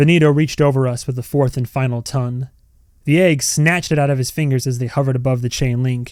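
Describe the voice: Fairly even intonation throughout plain reading aloud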